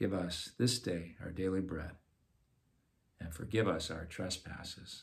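Man with a very deep, low pitch, somewhat breathy, fairly even intonation, a fairly slow pace, and long, frequent pauses. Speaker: parish talk leader. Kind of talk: Lenten talk on prayer, with guided meditation. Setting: online video from home. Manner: hesitant, repeats words. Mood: calm, gentle. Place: home room. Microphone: phone near.

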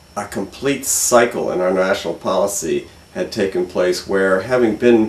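Audible room echo surrounds a man speaking at a fairly low pitch with fairly even intonation. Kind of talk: interview answer. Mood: calm, reflective. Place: home room.

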